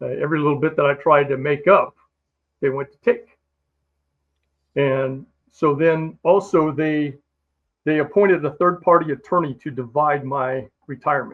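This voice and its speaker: Long, frequent pauses break up the speech of a man with an American accent and a fairly high pitch. His loudness swings widely while his intonation stays fairly even. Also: moderate pace. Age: 60s. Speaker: Marine Corps veteran. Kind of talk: interview testimony.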